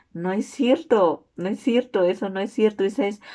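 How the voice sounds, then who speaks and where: This woman has a dark, mellow tone at medium pitch, with ordinary pitch variation. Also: very clean recording, silent background. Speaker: student. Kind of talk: class presentation video.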